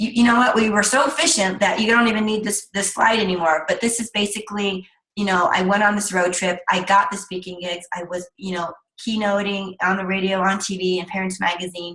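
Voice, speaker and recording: Fairly quick, fairly even speech from a woman, pitched in her middle range. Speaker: speaker trainer. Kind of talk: webinar presentation. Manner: fast.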